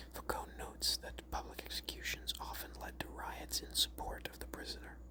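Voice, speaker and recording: Someone soft-spoken whispers at a moderate pace over noticeable background noise. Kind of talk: whispered ASMR reading of a Wikipedia article. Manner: whispered, soft-spoken.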